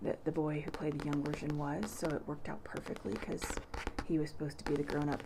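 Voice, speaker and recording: Over noticeable background noise, a soft-spoken woman with a very deep, low pitch talks very fast in fairly even intonation. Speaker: ASMR creator. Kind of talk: ASMR casual talk to camera.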